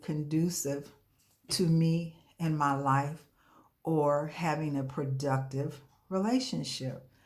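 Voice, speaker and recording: A woman speaks very slowly in a very deep, low voice with ordinary pitch variation. Audible room echo surrounds her. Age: 60s. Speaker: coaching client giving a testimonial. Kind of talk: testimony. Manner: hesitant, frequent fillers.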